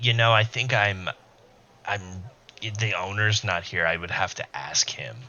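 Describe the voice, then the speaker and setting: A put-on character voice moves at a moderate pace with ordinary pitch variation, broken by long, frequent pauses. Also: man, fairly low pitch for a man. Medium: actual play.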